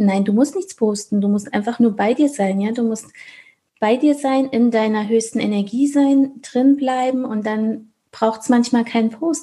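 Her voice has a dark, mellow tone and sounds somewhat breathy. The woman keeps her intonation fairly even. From Thuringia, Germany. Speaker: business coach. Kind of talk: casual interview chat.

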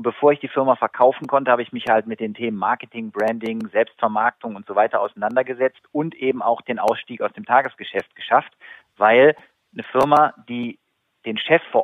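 A plain, everyday voice from a man at a medium pitch. He moves at a fairly quick pace with fairly even intonation. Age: 40s. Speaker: sales consultant and keynote speaker. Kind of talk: interview. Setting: phone call.

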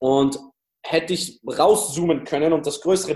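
This is a man with a fairly high pitch. His tone is dark and mellow. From Austria, Styria. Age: 20s. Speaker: dating coach. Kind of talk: interview.

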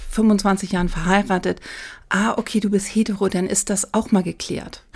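At a fairly quick pace, a woman speaks with a medium pitch in a monotone, flat intonation. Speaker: make-up artist. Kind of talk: casual chat.

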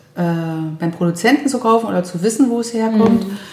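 A woman speaks with ordinary pitch variation. Noticeable background noise and audible room echo surround her. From Brandenburg near Berlin, eastern Germany. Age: 50s. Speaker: vocational school teacher and chef. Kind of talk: casual interview chat. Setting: home kitchen.

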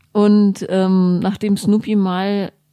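The voice has a dark, mellow tone and fairly even intonation. The sound is dry and close, with no echo. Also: woman. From Germany, grew up Bonn and Berlin. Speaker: author and journalist. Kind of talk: casual chat.

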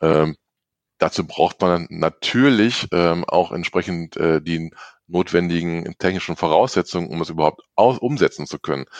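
At a moderate pace, a man with a very deep, low pitch and ordinary pitch variation speaks in a dry, close sound with no echo. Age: 40s. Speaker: IT development manager. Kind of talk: interview. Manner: many filler sounds.

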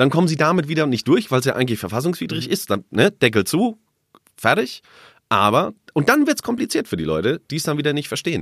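A man talks at a very fast pace in a fairly high pitch, with vocal fry. His pitch swings very widely. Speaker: newsroom colleague, debate guest. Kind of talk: casual debate chat. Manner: provocative, teasing.

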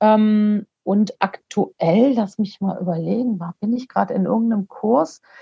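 A woman speaks at a fairly slow pace with hardly any pauses. Her voice is somewhat breathy. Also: medium pitch for a woman, ordinary pitch variation. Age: 40s. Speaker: coach and motivational speaker. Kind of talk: podcast interview.

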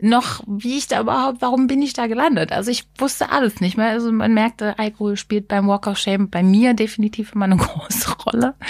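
Against noticeable background noise, the voice moves at a fairly quick pace with ordinary pitch variation. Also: woman, fairly high pitch for a woman. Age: 30s. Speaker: podcast co-host. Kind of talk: casual chat.

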